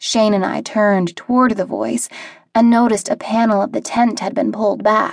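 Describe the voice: Here is a plain reading aloud with fairly even intonation.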